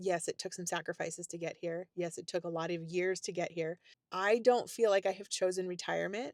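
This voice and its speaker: A woman's animated voice at a fairly quick pace, with big swings in loudness, dry and close with no echo, on a very clean recording with a silent background. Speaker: retirement lifestyle youtuber. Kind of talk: casual vlog talk to camera.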